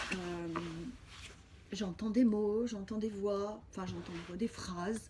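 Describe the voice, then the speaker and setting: With noticeable background noise behind her, a woman of medium pitch speaks at a very slow pace with fairly even intonation. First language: Spanish (speaking French). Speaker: spiritual healer. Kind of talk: personal video diary testimony. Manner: halting.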